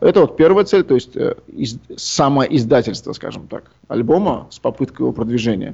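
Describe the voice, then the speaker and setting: A man speaks with lively intonation and vocal fry. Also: fairly high pitch for a man, moderate pace, big swings in loudness. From Uzbekistan, Tashkent. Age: young. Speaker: composer. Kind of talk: interview.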